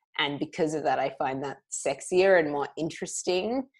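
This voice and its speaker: With ordinary pitch variation, the voice comes through in an Australian accent. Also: woman. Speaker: podcast co-host. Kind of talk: casual chat.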